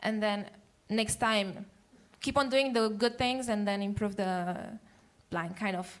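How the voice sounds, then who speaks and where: Heard with audible room echo, a woman speaks with fairly even intonation and long, frequent pauses. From Romania. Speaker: public speaking trainer. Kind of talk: talk show interview. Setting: stage with audience. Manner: fast.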